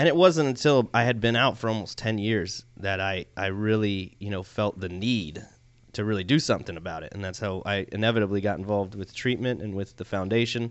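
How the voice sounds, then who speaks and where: Fairly quick in pace, a man speaks with a normal speaking voice. His pitch is fairly low, with ordinary pitch variation. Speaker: veteran, PTSD foundation manager. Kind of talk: radio interview.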